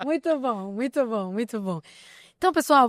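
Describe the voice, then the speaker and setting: In a very clean recording with a silent background and a dry, close sound free of echo, a woman with a non-native accent talks fairly quickly in a high voice. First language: not Portuguese (speaking Portuguese). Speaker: podcast host. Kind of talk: podcast conversation.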